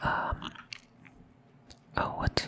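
The voice is whispering. Its tone is relaxed. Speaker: ASMR content creator. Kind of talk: ASMR gameplay commentary, casual talk. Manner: whispering, relaxed. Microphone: studio mic.

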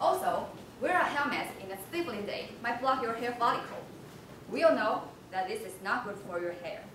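Moderate pace, with audible room echo and noticeable background noise. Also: woman. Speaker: presenter. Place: hall. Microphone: camera far.

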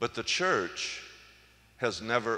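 A man talks in a bright, sharp tone with vocal fry. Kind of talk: homily at Mass, conversational and teaching. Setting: church. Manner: conversational, plainspoken; gently humorous, reflective.

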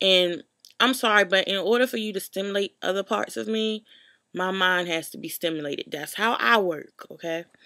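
This woman talks at a moderate pace with a medium pitch and ordinary pitch variation. Her tone is bright and sharp against a quiet background. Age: 20s. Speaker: YouTube vlogger. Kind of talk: casual storytelling vlog. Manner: informal, many fillers. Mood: animated, exasperated storytelling. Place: home room. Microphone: webcam.

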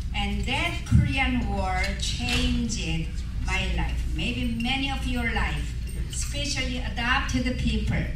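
Very slow male speech amid loud background noise and audible room echo. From Korea. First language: Korean. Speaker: adoption ministry speaker. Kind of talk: speech at gala event. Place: hall.

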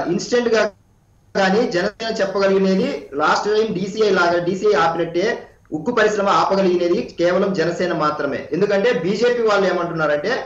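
In a quiet background with audible room echo, a man speaks at a high pitch, with ordinary pitch variation and very even loudness. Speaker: party spokesperson. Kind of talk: heated debate. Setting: video call. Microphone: remote Skype line; video call.

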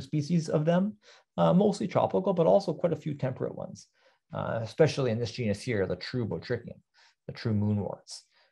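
A man with a Canadian accent, dark and mellow in tone and somewhat breathy, with very wide pitch swings at a moderate pace against a quiet background. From Southern Ontario, Canada. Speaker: botany lecturer. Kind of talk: lecture. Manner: halting, many fillers. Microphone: webcam.

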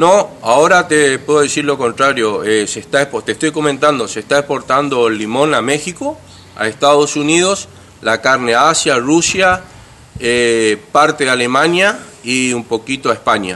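A man speaks at a fairly high pitch and a moderate pace. His pitch varies in an ordinary way. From Argentina, Corrientes (Santa Lucía); Corrientes, Argentina. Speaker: candidate for city council; council candidate. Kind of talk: interview. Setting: at his home. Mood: upbeat, earnest. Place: garden. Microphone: handheld.

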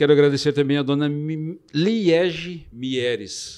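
Speaking at a very slow pace, a man with a fairly high pitch uses lively intonation in a quiet background. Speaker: podcast host. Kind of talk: casual chat. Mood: warm, grateful. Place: studio. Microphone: studio mic.

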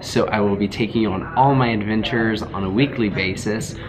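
This man talks at a moderate pace with ordinary pitch variation. Noticeable background noise runs under his voice. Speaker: nurse vlogger. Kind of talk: casual vlog chat. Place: home room.

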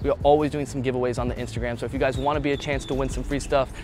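Music plays in the background as a man speaks, the sound dry with no echo. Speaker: fitness trainer. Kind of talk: casual vlog outro chat. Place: street. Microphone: lapel.

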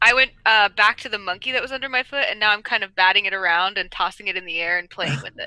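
A woman rattles along at a very fast pace with hardly any pauses, her tone bright and sharp, in a dry sound with no echo against a quiet background. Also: ordinary pitch variation. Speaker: role-play player. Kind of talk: tabletop role-play. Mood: playful, amused. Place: home room. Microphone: headset.

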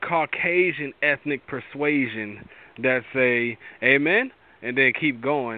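With an animated tone, a man talks at a medium pitch with ordinary pitch variation.

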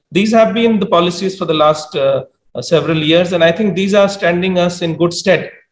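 A man speaks at a high pitch with fairly even intonation. Audible room echo surrounds his voice. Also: moderate pace. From India. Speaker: government official; panelist. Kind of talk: panel discussion. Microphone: video call.

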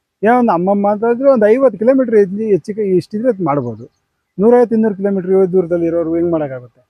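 A man talks at a high pitch, his intonation lively. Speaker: poultry farmer. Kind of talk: interview.

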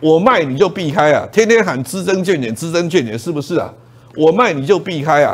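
A man's animated, high voice with lively intonation at a fairly quick pace. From Taiwan. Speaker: stock market commentator. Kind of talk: investment TV show pitch. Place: studio. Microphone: lapel.

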